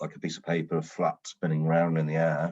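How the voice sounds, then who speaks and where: A man speaks with a British accent at a moderate pace. His very deep, low pitch carries a dark, mellow tone over a quiet background. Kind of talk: podcast interview guest. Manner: storytelling.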